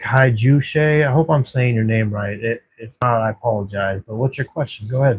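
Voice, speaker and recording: Somewhat breathy, a man with an American accent speaks at a medium pitch with fairly even intonation and a dry, close sound with no echo. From Texas. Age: 40s. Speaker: livestreamer in addiction recovery. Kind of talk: casual livestream chat. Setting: at work, night shift. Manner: warm, casual.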